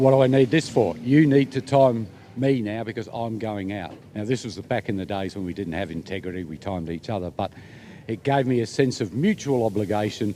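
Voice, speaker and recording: Over music in the background, a man with an Australian accent speaks at a fairly quick pace in a fairly low pitch, with lively intonation and big swings in loudness. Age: 60s. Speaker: volunteer motorsport official. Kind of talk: casual interview.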